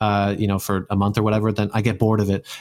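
A man with a General American accent, on a very clean recording against a silent background. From US Pacific Northwest, Seattle; raised partly in Utah. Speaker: world traveler and polyglot working at a brain implant company. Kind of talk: casual interview. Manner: animated, repeats words often.

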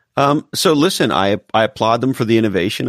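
Here a man talks at a moderate pace with ordinary pitch variation. The very clean recording has a silent background and a dry, close sound with no echo. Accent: American. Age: 50s. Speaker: marketing executive and author. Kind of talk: casual interview chat. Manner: animated.

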